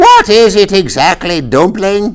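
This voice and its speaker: This is a put-on character voice with a middle pitch. It is delivered at a fairly slow pace. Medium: read story. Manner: tart, contrary.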